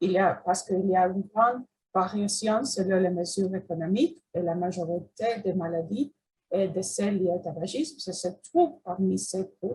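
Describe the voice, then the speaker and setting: A woman with an English accent sounds somewhat breathy, her tone dark and mellow. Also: medium pitch for a woman, ordinary pitch variation, moderate pace. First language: English (speaking French). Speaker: cancer researcher. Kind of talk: research presentation. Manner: halting, many hesitations.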